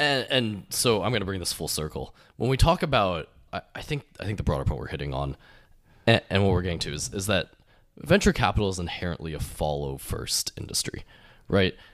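With vocal fry and a very deep, low pitch, a man moves at a fairly quick pace through very wide pitch swings, captured in a very clean recording with a silent background. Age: 20s. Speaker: podcast host, venture investor. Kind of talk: casual chat.

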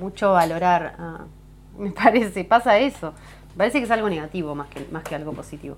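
Speaking at a fairly quick pace yet with long, frequent pauses, a woman at medium pitch uses lively intonation and big swings in loudness. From Uruguay, Neptunia near Montevideo. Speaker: singer-songwriter. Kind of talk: casual interview chat. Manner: halting, many fillers and restarts.

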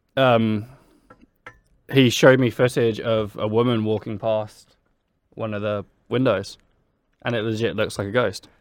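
Someone speaks with a southern English accent at a moderate pace. The intonation is monotone and flat, broken by long, frequent pauses. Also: man, medium pitch for a man. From Brighton, England. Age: 20s. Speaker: podcast co-host. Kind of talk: casual chat. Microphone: too far from the microphone.

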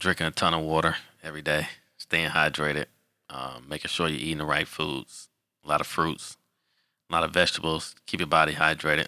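A man with an American accent speaks at a fairly quick pace in a very deep, low voice with a bright, sharp tone and vocal fry. His intonation is monotone and flat, with long, frequent pauses, in a very clean recording with a silent background. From Detroit, Michigan. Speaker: football official. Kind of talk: casual interview.

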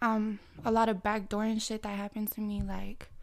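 A woman's somewhat breathy voice comes through at a fairly high pitch for a woman. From Canada. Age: 20s. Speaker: podcast guest, independent businesswoman. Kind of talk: casual chat.

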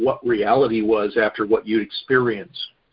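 A man talks at a moderate pace and medium pitch. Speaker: nonprofit founder, scam victim advocate. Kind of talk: interview. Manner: formal.

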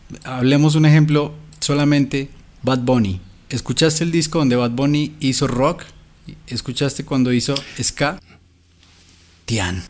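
A man speaks at a fairly high pitch and a fairly slow pace, with long, frequent pauses. His loudness stays very even, and his pitch varies in an ordinary way. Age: 30s. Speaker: songwriter, musician and YouTuber. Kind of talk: casual chat.

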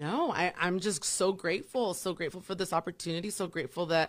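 An American accent marks this woman's animated, very fast speech at a fairly low pitch, on a very clean recording with a silent background. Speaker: fitness studio manager, former radio host. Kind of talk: casual interview chat. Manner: animated, joking.

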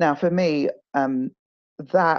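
A woman is speaking. She has a southern English accent. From southeast England (home counties, London suburbs), born in Nigeria. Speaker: author and charity communications executive. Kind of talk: interview conversation.

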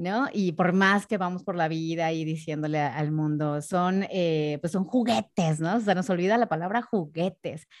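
A woman with a Mexican accent, fairly low pitch, ordinary pitch variation, a fairly slow pace and hardly any pauses, against a quiet background. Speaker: sexologist and voice announcer. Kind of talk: casual interview.

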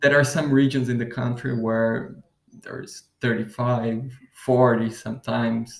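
In a Portuguese accent, a man talks at a very slow pace. His pitch is medium, and his intonation is monotone and flat. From southern Brazil, Curitiba. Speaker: podcast host. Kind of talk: interview answers, casual chat.

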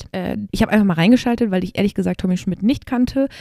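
Dark and mellow in tone, a woman's medium-pitched voice shows ordinary pitch variation in a dry, close sound with no echo. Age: 20s. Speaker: podcaster. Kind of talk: solo monologue. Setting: at home desk. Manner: casual, many fillers.

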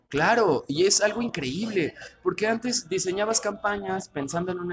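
A man with a Mexico City accent talks at a fairly quick pace with ordinary pitch variation over noticeable background noise. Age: 30s. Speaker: political communications consultant. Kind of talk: casual interview.

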